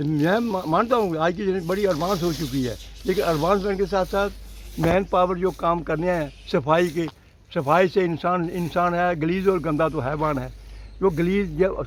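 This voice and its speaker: At a moderate pace, a man talks in a high pitch. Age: 80s+. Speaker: retired physical education teacher. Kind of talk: interview.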